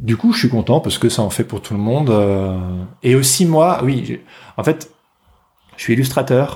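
With lively intonation and medium pitch, a man speaks at a fairly slow pace in a dark, mellow, somewhat breathy tone. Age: 30s. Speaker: illustrator. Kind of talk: casual chat.

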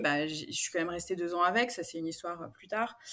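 Very fast speech from a woman, medium in pitch, with ordinary pitch variation. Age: 40s. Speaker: coaching client sharing her story. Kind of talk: interview testimony. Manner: halting, many fillers.

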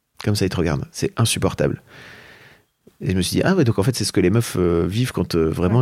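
Delivery comes at a very fast pace with ordinary pitch variation. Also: man. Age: 40s. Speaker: entrepreneur and podcaster. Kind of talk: interview. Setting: at the guest's home.

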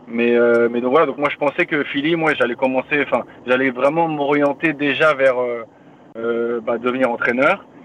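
Medium-pitched man at a moderate pace, fairly even intonation, noticeable background noise behind him. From France, Paris region (Yvelines). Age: 30s. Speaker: professional football defender. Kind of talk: podcast interview.

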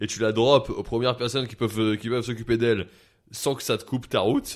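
A man's normal speaking voice at medium pitch, fairly quick in pace with fairly even intonation, in a very clean recording with a silent background. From France, Paris area. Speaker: comedian and media personality. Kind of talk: casual chat. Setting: studio.

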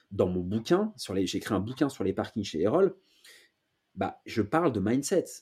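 Dark and mellow in tone, a man at a medium pitch moves through very wide pitch swings at a fairly slow pace with long, frequent pauses, in a very clean recording with a silent background. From France, Paris. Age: 30s. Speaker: real estate investor and entrepreneur. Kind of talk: interview.

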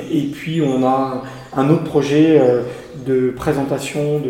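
Amid noticeable background noise and audible room echo, a man of medium pitch speaks with monotone, flat intonation. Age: 40s. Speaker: estate and garden owner. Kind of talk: interview. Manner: hesitant with fillers.

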